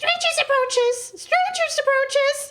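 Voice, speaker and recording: This is a put-on character voice at an extremely high pitch. It is squeaky and shrill, delivered at a moderate pace. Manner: calling out a warning.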